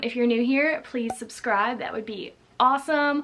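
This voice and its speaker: A woman talks at a moderate pace in a high voice with ordinary pitch variation. Noticeable background noise runs behind her. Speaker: lifestyle and photography YouTuber. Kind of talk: casual vlog; voiceover narration. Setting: at home; outdoors.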